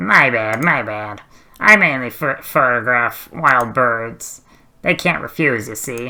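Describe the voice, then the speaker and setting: A man puts on a character voice at a medium pitch, speaking at a fairly slow pace with ordinary pitch variation. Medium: solo performance. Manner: easygoing, smooth, flattering.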